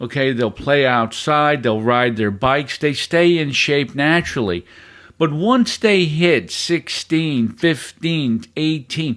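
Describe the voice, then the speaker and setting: A man's fairly high-pitched voice at a very slow pace. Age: 70s. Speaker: fitness podcast host and personal trainer. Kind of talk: podcast monologue. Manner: conversational.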